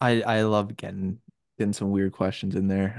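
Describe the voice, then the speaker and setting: A normal speaking voice from a man at a fairly low pitch and a fairly quick pace, with a dry, close sound, no echo and a quiet background. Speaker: podcast host. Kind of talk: casual banter.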